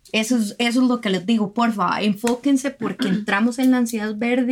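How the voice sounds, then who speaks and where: The speaker is a woman with a fairly high pitch. Her voice is somewhat breathy and her intonation fairly even. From Costa Rica, Guanacaste. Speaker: environmental lawyer and consultant. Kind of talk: interview.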